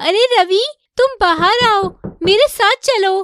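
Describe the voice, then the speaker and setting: Fairly slow delivery comes from a cartoonish character voice. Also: woman, extremely high pitch for a woman. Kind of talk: animated horror story narration.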